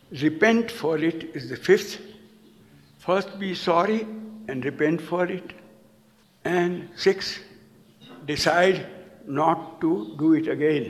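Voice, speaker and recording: Audible room echo around a man's high-pitched voice with ordinary pitch variation, very slow, with long, frequent pauses. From India. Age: 80s+. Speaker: storyteller. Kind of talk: lecture.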